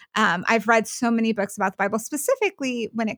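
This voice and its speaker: A woman's normal speaking voice at a fairly high pitch with ordinary pitch variation, in a very clean recording with a silent background and a dry, close sound with no echo. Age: 30s. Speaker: writer and former missionary. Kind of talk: casual chat.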